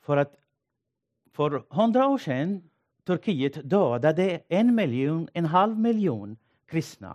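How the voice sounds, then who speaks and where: Recorded with a dry, close sound and no echo, a man with a high pitch speaks at a very slow pace, making very wide pitch swings and long, frequent pauses. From northeastern Syria, Assyrian village. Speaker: pastor. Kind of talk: sermon. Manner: halting.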